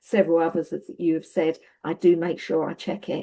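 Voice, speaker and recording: A woman's dark, mellow voice with a Cockney accent. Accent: Estuary, Cockney. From Essex, England. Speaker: webinar participant. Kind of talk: webinar discussion.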